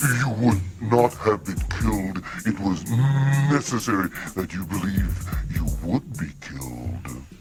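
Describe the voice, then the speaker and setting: In a put-on character voice, a man speaks fairly slowly with a fairly low pitch. Clear music plays in the background. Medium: audio drama. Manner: formal, measured.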